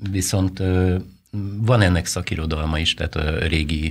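This man speaks at a fairly slow pace in a very deep, low voice, with fairly even intonation and long, frequent pauses. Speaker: saffron grower guest. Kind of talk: interview answer. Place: studio. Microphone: studio mic.

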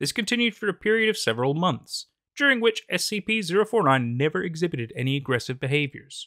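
A man at a moderate pace, bright and sharp in tone, with very wide pitch swings and a dry, close sound with no echo. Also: very clean recording, silent background. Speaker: horror narrator. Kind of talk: dramatic narration of a containment file, read in a grave, clinical tone.

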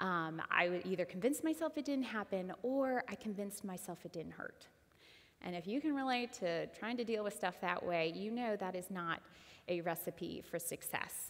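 Delivered at a moderate pace, the speech has lively intonation. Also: woman. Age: 30s. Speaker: church member sharing testimony; guest. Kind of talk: testimony. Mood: earnest, emotional personal testimony. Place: church. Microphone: headset.

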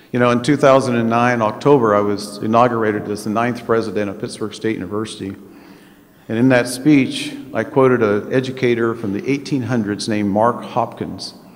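Talking at a moderate pace, a man keeps his intonation fairly even. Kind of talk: ceremonial speech. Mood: warm, lightly humorous. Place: hall. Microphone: podium.

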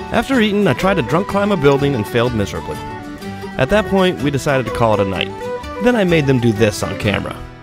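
Music plays in the background as a man talks at a very fast pace, the sound dry with no echo. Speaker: travel show host narrator. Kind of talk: travel show voice-over narration.

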